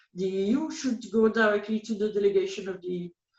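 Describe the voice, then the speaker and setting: A woman talks at a moderate pace with a French accent. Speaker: policy analyst. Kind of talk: interview. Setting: call. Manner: halting.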